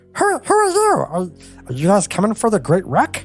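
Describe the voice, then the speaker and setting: At a moderate pace and a high pitch, a man performs a put-on character voice with faint music in the background. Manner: startled, questioning.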